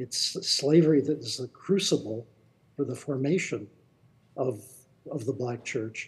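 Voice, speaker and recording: A man speaks at a medium pitch and a fairly slow pace, with ordinary pitch variation and a somewhat breathy voice. He leaves long, frequent pauses. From Indianapolis. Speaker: author and anthropologist. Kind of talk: live Q&A. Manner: verbose.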